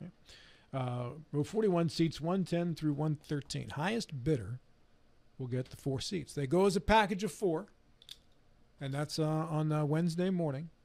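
Speaking at a fairly slow pace with long, frequent pauses, a man uses ordinary pitch variation. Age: 60s. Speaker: radio talk show host. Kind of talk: casual chat. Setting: studio. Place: studio. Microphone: studio mic.

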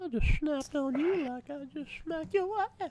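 Using a put-on character voice, a man talks at a moderate pace with an extremely high pitch. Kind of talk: comic voice impression. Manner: creepy, insulting, fake-polite.

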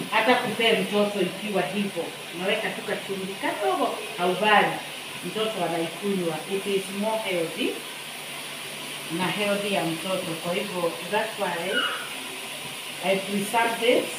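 Amid loud background noise and audible room echo, a woman talks at a fairly slow pace with long, frequent pauses. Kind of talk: casual cooking vlog chat. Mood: relaxed, cheerful. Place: kitchen. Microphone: phone near.

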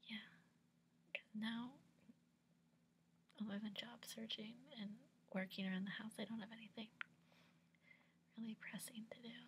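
With light background noise, a woman in an American accent speaks fairly slowly in a somewhat breathy, fairly high voice with monotone, flat intonation. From United States. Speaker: ASMR whisper channel host, recent college graduate. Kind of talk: casual talk to camera. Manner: casual, relaxed, conversational. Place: home room. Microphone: webcam.

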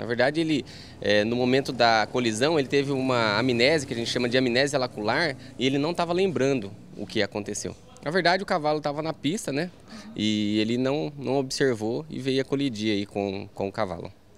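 A man speaking at a fairly quick pace over light background noise. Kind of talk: interview answer. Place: station. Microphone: handheld.

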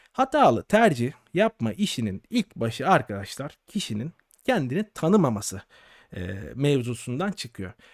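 Against a quiet background, a man with a fairly high pitch speaks with very wide pitch swings in a dry sound with no echo. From Turkey. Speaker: doctor and exam-prep educator; exam-prep educator. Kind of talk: live stream monologue. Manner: casual, conversational. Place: home room. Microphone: studio mic.

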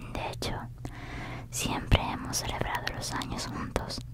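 Someone whispers at a fairly slow pace. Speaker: ASMR creator. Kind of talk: ASMR whispered book reading. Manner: whispered, soft-spoken.

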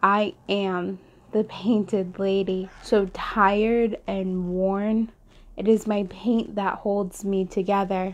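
Her intonation is monotone and flat at a medium pitch. The woman speaks at a very slow pace. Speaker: poet. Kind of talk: spoken word poetry reading. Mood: solemn, emotional. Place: home room. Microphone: lapel.

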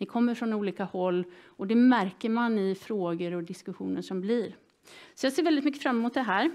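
At a moderate pace, a woman speaks over a quiet background. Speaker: seminar moderator. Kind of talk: event introduction to audience. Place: hall.

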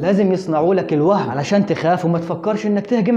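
In an Egyptian accent, a man talks at a high pitch and a fairly quick pace. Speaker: Islamic scholar, Quran explainer. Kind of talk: casual religious explainer talk to camera. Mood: playful, teasing at times. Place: studio. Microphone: lapel.

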